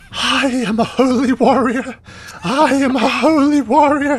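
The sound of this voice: Whispering in a put-on character voice, a man goes at a fairly slow pace.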